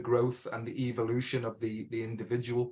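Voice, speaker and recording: With a British accent, this man talks at a moderate pace in a medium-pitched, somewhat breathy voice. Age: 60s. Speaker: podcast host. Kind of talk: casual chat. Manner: halting.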